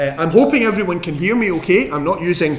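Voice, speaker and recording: Over noticeable background noise and audible room echo, a man with a Scottish accent speaks at a moderate pace with lively intonation. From Scotland. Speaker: professor giving physics lectures. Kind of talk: lecture. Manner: frequent ums and hesitations.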